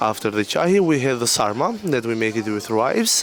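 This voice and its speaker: A man speaks with an Albanian accent at medium pitch and ordinary pitch variation. Noticeable background noise sits behind him. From Albania, Gjirokastër. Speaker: restaurant waiter. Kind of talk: interview. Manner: halting.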